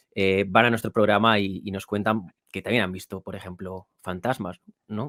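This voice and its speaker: Using an unremarkable speaking voice, a man talks at a fairly low pitch and a moderate pace with fairly even intonation. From Spain, Toro (Zamora, Castile and León). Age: 30s. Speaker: author and podcast host. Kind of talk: interview.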